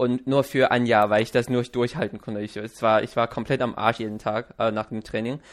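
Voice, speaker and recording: A man's medium-pitched voice at a fairly quick pace, flat and monotone, with hardly any pauses. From China. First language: Chinese (speaking German). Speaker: podcast host. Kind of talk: casual interview. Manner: halting.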